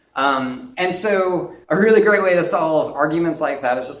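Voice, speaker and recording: A man's fairly high voice is heard against noticeable background noise. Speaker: UX designer giving a conference talk. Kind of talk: conference presentation; direct-to-camera video message. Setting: stage with audience. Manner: fast.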